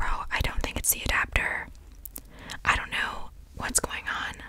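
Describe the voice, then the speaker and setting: A woman is whispering. Her voice stays at a whisper. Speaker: ASMR creator. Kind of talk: casual vlog chat. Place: home room. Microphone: studio mic.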